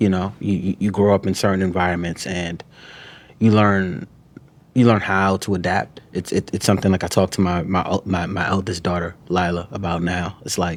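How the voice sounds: A man talks at a moderate pace. His pitch is low and moves little.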